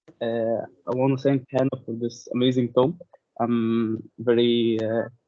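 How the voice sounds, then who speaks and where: A man speaks in a monotone with flat intonation. His pace is fairly slow. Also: medium pitch for a man. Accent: non-native. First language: not English. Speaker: audience member asking a question. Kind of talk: question in webinar Q&A. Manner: halting.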